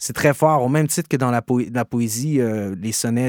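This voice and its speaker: Recorded very cleanly with a silent background and a dry, close sound with no echo, a man in a Quebec accent speaks with fairly even intonation. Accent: Québécois. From Quebec, Gatineau. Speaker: rapper and slam poet. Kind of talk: interview. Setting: studio.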